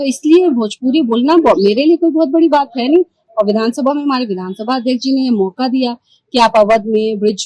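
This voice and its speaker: At a moderate pace, a woman with a high pitch uses lively intonation in a dry, close sound with no echo. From eastern Uttar Pradesh (Ballia, Bhojpuri region). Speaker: politician. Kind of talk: interview.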